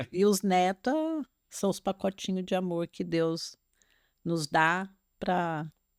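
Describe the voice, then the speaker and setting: On a very clean recording with a silent background and a dry, close sound with no echo, a woman of medium pitch speaks very slowly with fairly even intonation. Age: 70s. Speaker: retired grandmother, podcast guest. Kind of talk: casual interview chat.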